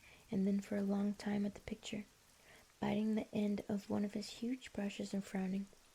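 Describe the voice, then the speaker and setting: In a calm, gentle, dark and mellow tone, a woman speaks at a medium pitch and a moderate pace. Her voice is somewhat breathy, with monotone, flat intonation. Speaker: streamer and ASMR book reader. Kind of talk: audiobook-style ASMR book reading. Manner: soft, calm, gentle reading.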